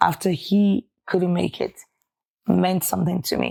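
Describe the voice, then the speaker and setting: A woman talking at a moderate pace. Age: 50s. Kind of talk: interview answer.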